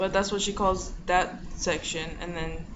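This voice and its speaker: The words come out mumbled at a moderate pace. Noticeable background noise sits under the speech. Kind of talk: casual talk to camera. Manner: mumbling.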